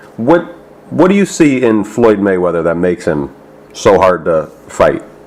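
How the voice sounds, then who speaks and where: Against noticeable background noise, a man with a fairly low pitch speaks at a moderate pace. His pitch swings very widely. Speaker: boxing interviewer. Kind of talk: interviewer questions.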